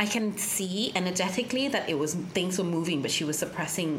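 Noticeable background noise sits behind a woman speaking at a moderate pace in a fairly low voice with ordinary pitch variation. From Thailand, schooled in UK from 11. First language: Thai. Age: 30s. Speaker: sound healer. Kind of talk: casual interview chat.

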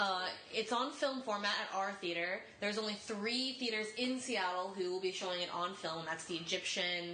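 A woman speaks at a moderate pace and medium pitch, with ordinary pitch variation and very even loudness. Noticeable background noise and audible room echo are present. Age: 20s. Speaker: podcast panelist. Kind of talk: casual chat.

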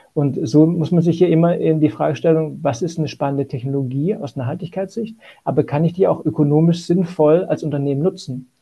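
Here a man talks in a normal speaking voice, fairly high-pitched, with ordinary pitch variation. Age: 40s. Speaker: asset management sustainability lead. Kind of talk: interview.

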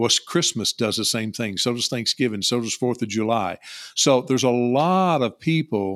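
A man with a Kentucky accent talks at a moderate pace and medium pitch, his intonation lively. The sound is dry and close with no echo, in a very clean recording with a silent background. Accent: Kentucky Southern US. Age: 50s. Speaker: online seller and insurance agent. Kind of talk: casual interview.

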